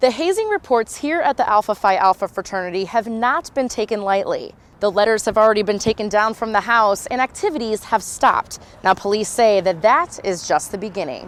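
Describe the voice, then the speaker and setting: In an ordinary speaking voice, a woman talks at a fairly quick pace with a fairly high pitch and lively intonation, the sound dry and close with no echo. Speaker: local TV news reporter. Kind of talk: TV news reporter delivery, live stand-ups and packages.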